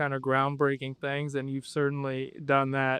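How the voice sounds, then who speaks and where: A man speaks in a Midwestern accent at a fairly high pitch. The sound is dry and close, with no echo. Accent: American Midwest. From Flint, Michigan. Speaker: podcast host. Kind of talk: interview.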